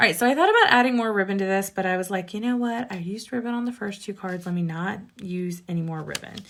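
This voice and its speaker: Talking at a very fast pace with hardly any pauses, a woman uses a medium pitch and ordinary pitch variation over noticeable background noise. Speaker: card-making demonstrator. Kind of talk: tutorial. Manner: slurring words slightly; casual, chatty.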